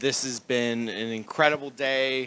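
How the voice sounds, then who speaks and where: A man speaks loudly at a fairly slow pace in a bright, sharp tone. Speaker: groom. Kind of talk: wedding speech. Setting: wedding reception.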